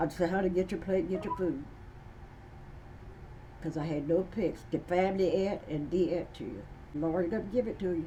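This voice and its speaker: A woman with an American accent speaks at a fairly low pitch and moderate pace, her intonation fairly even. She leaves long, frequent pauses, and noticeable background noise is present. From Eastern Shore, USA. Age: 80s+. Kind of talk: interview answer.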